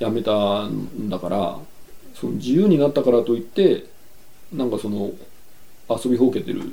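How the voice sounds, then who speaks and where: A man at medium pitch with vocal fry, lively intonation, a moderate pace, and long, frequent pauses. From Yokohama, Japan. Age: 40s. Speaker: painter and farmer. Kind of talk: interview.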